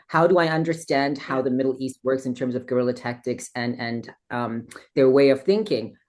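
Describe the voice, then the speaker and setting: Her tone is animated. The woman speaks at a moderate pace. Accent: slight South African. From South Africa. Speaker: interview guest. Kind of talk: interview conversation.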